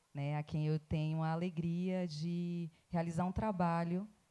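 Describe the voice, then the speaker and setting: With a Bahian accent, a woman speaks at a fairly slow pace in a fairly low pitch and a dark, mellow tone. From Bahia, Recôncavo. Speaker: academic, writer. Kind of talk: festival panel talk.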